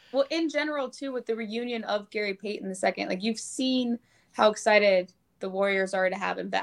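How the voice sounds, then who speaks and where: Someone speaks in an ordinary speaking voice with an American accent, at a fairly quick pace and with ordinary pitch variation. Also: woman, fairly high pitch for a woman. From Nebraska. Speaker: sports journalist. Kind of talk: casual chat. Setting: hotel room, video call.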